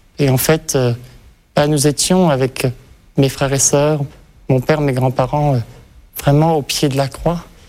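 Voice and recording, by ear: A man's fairly high, slightly mellow voice at a fairly slow pace, with fairly even intonation and long, frequent pauses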